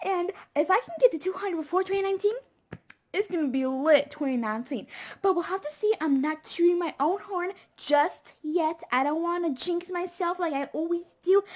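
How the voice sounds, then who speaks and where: A squeaky voice at a moderate pace, with lively intonation. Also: woman, extremely high pitch for a woman. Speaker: YouTuber. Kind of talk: casual vlog.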